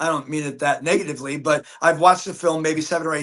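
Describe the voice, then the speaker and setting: At a fairly quick pace, a man speaks in a bright, sharp tone with a fairly high pitch. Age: 60s. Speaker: actor. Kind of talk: casual chat. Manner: halting.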